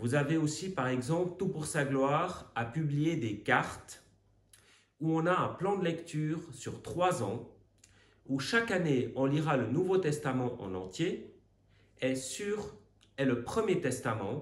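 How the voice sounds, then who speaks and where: Very slowly and with long, frequent pauses, a man with a Swiss accent speaks in a fairly high, somewhat breathy voice, his intonation lively and the room echo audible. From Switzerland. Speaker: Bible teacher. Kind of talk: recorded Bible teaching. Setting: recorded video, away on retreat.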